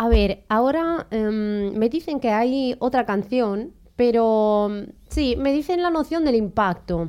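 Very slowly, a woman speaks in a dark, mellow tone at a fairly high pitch, in a very clean recording with a silent background. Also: lively intonation. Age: 20s. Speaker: radio host. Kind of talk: interview. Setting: studio.

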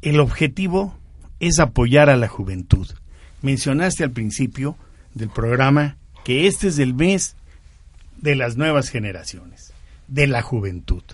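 At a fairly slow pace, a man talks with long, frequent pauses and a somewhat breathy voice. His pitch is medium, with lively intonation. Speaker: service club member. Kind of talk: radio interview.

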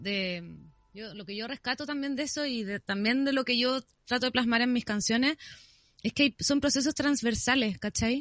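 Over a quiet background, the voice keeps a moderate pace with ordinary pitch variation and big swings in loudness, in a dry, close sound with no echo. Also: woman, high pitch for a woman. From Chile, Viña del Mar. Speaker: singer-songwriter. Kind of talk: casual chat.

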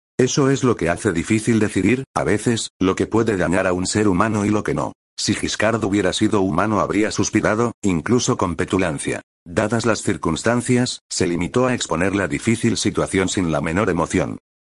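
The background is quiet as a man with an ordinary speaking voice talks at a moderate pace. His fairly low pitch shows ordinary pitch variation, and his loudness stays very even. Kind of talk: audiobook reading. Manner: formal, measured literary narration; shifts tone to voice characters in dialogue.

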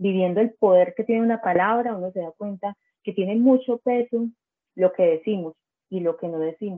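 A woman with a normal speaking voice, medium pitch, a fairly quick pace and ordinary pitch variation. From Colombia, Bajo Cauca region of Antioquia. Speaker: social communicator and literary apparel entrepreneur. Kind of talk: casual interview.

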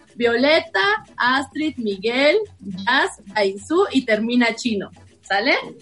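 With lively intonation and a high pitch, a woman talks at a very slow pace. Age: 30s. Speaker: actress. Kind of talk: improv comedy; casual chat.

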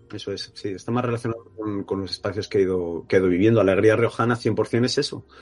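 With hardly any pauses, a man talks at a very fast pace in a fairly even intonation. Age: 40s. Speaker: film director. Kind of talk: interview. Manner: halting, many repetitions and fillers.

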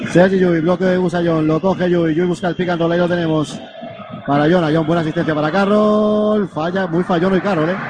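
Over noticeable background noise, a man with a high pitch talks at a fairly quick pace and very even loudness. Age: 30s. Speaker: basketball radio commentator. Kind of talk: live commentary. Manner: animated.

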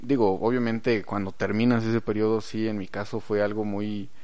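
With a Mexican accent, a man talks at a moderate pace in a fairly low voice with a dark, mellow tone, and audible room echo surrounds him. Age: 20s. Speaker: podcast host. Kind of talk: casual chat. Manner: halting.

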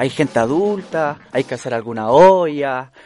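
A man with a Chilean accent speaks at a fairly slow pace with lively intonation. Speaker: social activist and character creator. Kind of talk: interview. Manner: halting.

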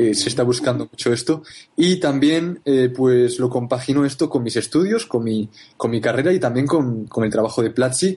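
A man with a dark, mellow tone talks somewhat breathily at a moderate pace, his pitch varying in an ordinary way. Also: medium pitch for a man. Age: 20s. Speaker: marketer and university student. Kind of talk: interview. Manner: halting, many repetitions.

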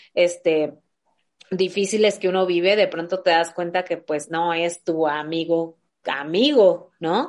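A woman speaks in a fairly low voice with fairly even intonation. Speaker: podcast host. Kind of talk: casual chat.

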